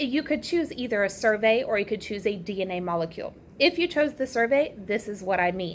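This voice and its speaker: A woman with a Southern US accent speaks at a moderate pace and a fairly high pitch. Her pitch swings very widely, on a very clean recording with a silent background. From US South. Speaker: teacher. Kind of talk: recorded classroom lesson. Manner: casual, chatty.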